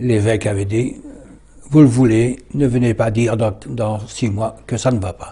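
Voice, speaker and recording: A man's dark, mellow, somewhat breathy voice, fairly low in pitch, at a very slow pace with fairly even intonation. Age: 80s+. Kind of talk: interview, autobiographical recollection. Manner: halting, many hesitations.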